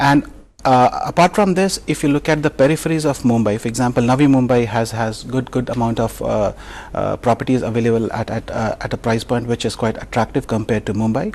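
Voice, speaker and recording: A man with a medium-pitched voice speaks at a fairly quick pace with ordinary pitch variation, over noticeable background noise. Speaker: real estate research head. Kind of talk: TV interview. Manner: halting, many fillers.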